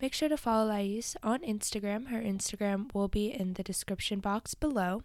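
An unremarkable speaking voice, medium in speed and ordinary in its pitch movement. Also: woman. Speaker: podcast host. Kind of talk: interview, casual conversation.

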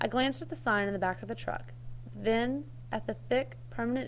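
Someone reads in a natural voice.

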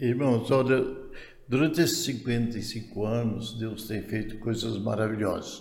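Audible room echo surrounds a man speaking at a very slow pace. His pitch is medium and his intonation fairly even. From Goiás, central Brazil. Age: 80s+. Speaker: retired pioneer pastor. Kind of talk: interview testimony.

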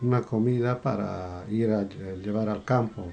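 Very slow pace and ordinary pitch variation. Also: man. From Peru, Cusco region. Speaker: podcast guest, father of co-host. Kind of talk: interview, life story.

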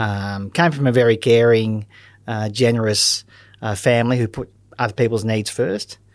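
In an Australian accent, a man talks at medium pitch and a moderate pace with fairly even intonation. The recording is very clean, with a silent background. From Australia, Melbourne. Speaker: critical care paramedic. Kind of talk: interview. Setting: studio.

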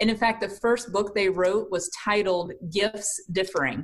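A woman with a slight Southern US accent at a medium pitch and moderate pace, with fairly even intonation and a quiet background. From South Carolina. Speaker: leadership coach and team building consultant. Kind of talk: casual interview. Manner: warm.

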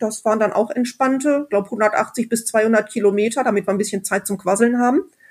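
A woman talks at a fairly quick clip with hardly any pauses, her fairly high voice somewhat breathy and varying in pitch in an ordinary way. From Sauerland, Germany. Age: 20s. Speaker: motorcyclist and regional group organizer. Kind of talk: casual chat.

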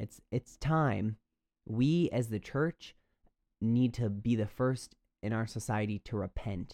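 On a very clean recording with a silent background, a man with an American accent speaks very slowly in a dark, mellow tone at a medium pitch. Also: ordinary pitch variation. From US Midwest. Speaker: podcast host, college student. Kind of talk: solo podcast commentary.

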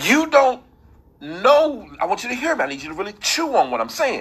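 A man's bright, sharp voice sits at an extremely high pitch. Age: 40s. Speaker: faith-based motivational podcast host. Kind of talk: inspirational devotional monologue.

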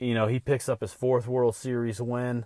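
A man speaks in a normal speaking voice. The sound is dry and close, with no echo. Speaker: sports podcast host. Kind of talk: solo podcast monologue. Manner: casual, with filler words.

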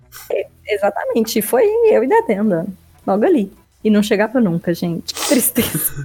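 Over noticeable background noise, a woman talks at a fairly high pitch with lively intonation. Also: moderate pace. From Minas Gerais, Belo Horizonte. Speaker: podcast co-host. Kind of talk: casual chat.

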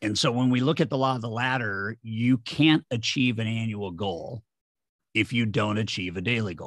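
A normal speaking voice from a man, medium in pitch with ordinary variation, at a moderate pace. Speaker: sales trainer and author. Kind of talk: interview conversation.

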